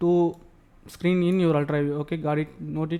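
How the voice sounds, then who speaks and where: The speaker has a non-native accent. The intonation is monotone and flat. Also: man. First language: not English. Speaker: tech tutorial youtuber. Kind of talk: tutorial. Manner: halting, repetitive.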